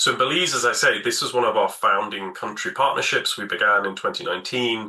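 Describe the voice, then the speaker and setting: A man with a British accent talks at a very fast pace over noticeable background noise. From Britain. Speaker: environmental project director. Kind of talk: webinar presentation. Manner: hesitant, with fillers.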